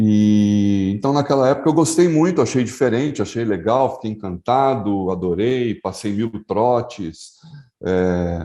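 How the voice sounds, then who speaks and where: Over a quiet background, a dark, mellow tone moves with lively intonation. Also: man, medium pitch for a man. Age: 60s. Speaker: advertising executive. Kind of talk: interview testimony. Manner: hesitant, with fillers.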